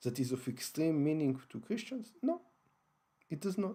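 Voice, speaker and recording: A man speaks with an Israeli accent. His tone is dark and mellow. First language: Hebrew. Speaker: online broadcaster on religion and history. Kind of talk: lecture-style monologue broadcast. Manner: halting, many fillers and restarts.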